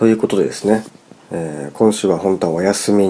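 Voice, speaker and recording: The man's voice is very deep and low, with ordinary pitch variation. He speaks at a moderate pace over noticeable background noise. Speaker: musician and podcast host. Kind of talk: solo podcast monologue. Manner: casual, filler-heavy.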